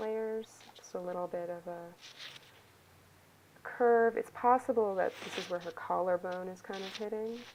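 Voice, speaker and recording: A woman speaks with a normal speaking voice at a medium pitch. Her pace is fairly slow. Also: big swings in loudness. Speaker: art teacher. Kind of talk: tutorial. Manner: casual, filler-heavy.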